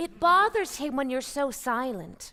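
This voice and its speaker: A female-sounding voice uses a put-on character voice, pitched high. The pace is moderate. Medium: audio drama. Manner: sweet, polite, soothing.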